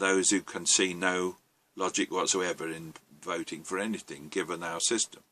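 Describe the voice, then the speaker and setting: A man's very deep, low voice with an English accent, at a moderate pace, in a dry, close sound with no echo. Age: 70s. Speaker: novelist. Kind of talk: monologue. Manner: halting, frequent ums.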